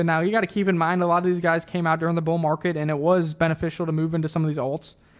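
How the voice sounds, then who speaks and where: A man talks at a very fast pace in a high pitch for a man. His intonation stays monotone and flat. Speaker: crypto trading show host. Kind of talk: live stream chat reading viewer comments.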